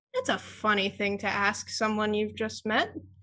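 A woman puts on a character voice. It sits at medium pitch and moves at a moderate pace. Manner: eerie, uncanny.

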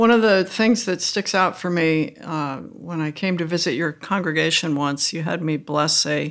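A woman's plain, everyday voice, a plain, everyday voice at a fairly low pitch and moderate pace, in a very clean recording with a silent background. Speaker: bishop hosting interview podcast. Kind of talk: interview, formal conversation.

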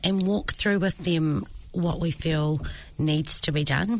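A woman's voice is very deep and low, with vocal fry. She speaks at a fairly slow pace. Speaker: head of property management. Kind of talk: casual interview chat. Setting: studio.

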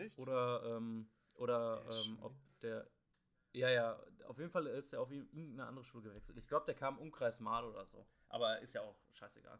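Loudness swings widely as a man talks at a fairly quick pace. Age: 20s. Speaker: podcast host, student. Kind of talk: casual chat. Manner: halting, many filler words.

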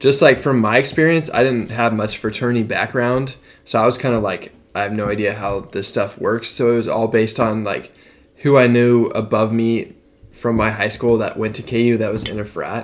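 A man with a normal speaking voice talks at a moderate pace, his medium pitch following fairly even intonation. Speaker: podcast host, college student. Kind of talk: casual chat. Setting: home studio.

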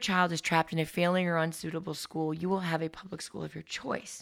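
Over a silent background on a very clean recording, a woman with an American accent talks at a fairly quick pace in a normal speaking voice. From south shore of Massachusetts. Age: 40s. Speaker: political candidate. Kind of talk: interview. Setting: studio.

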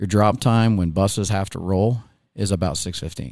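Over a silent background in a very clean recording, a man speaks at a moderate pace in a normal speaking voice with fairly low pitch. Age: 40s. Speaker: school superintendent. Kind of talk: interview. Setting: studio.

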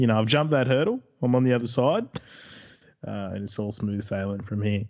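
This man has a medium pitch and speaks with an Australian accent. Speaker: podcast co-host. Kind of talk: casual chat.

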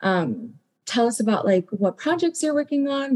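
A woman's dark, mellow, somewhat breathy voice with an American accent, lively intonation and a moderate pace. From US, Mexican American family. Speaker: graduate student, former Peace Corps teacher. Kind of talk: panel discussion.

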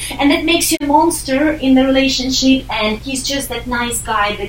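A woman's high-pitched voice at a moderate pace, ordinary pitch variation, over noticeable background noise. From Ukraine, Kyiv. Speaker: expat living in Paris. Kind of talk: casual chat.

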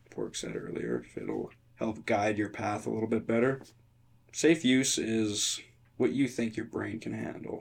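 With a normal speaking voice, a man talks at a fairly slow pace in a medium pitch and ordinary pitch variation. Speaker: guitarist and studio engineer. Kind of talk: casual chat.

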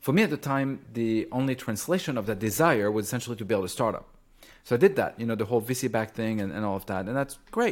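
With a French accent, a man talks at a very fast pace in a medium pitch with ordinary pitch variation. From France, Champagne region. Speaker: startup founder and CEO. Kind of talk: interview.

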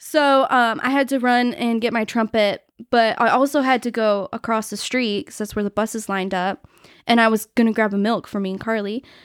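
A woman with an American accent uses a plain, everyday voice, fairly high in pitch, at a fairly quick pace with fairly even intonation. The recording is very clean, with a silent background and a dry, close sound with no echo. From US Midwest / Georgia (Milwaukee, then Atlanta from 2008). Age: 20s. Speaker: elementary school teacher. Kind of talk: casual chat.

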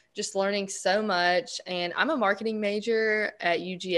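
Fairly even intonation from a woman with a Southern US accent. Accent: Southern American. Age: 20s. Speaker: podcast co-host, real estate agent and student. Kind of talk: casual chat.

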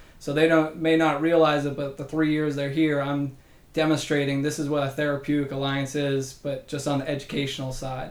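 With an American accent and a fairly high pitch, a man speaks fairly quickly in a flat monotone, with audible room echo. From Massachusetts. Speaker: physical therapy professor. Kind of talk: interview.

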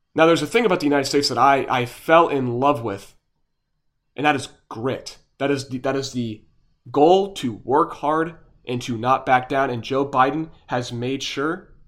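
A fairly high-pitched man talks at a moderate pace in an animated tone with ordinary pitch variation. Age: young. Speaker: political podcast host. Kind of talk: solo political commentary.

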